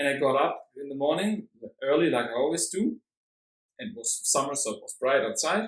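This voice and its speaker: Speaking at a fairly quick pace in a German accent, a man uses a fairly high pitch, lively intonation and big swings in loudness. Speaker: vegan activist. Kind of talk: casual chat. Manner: halting.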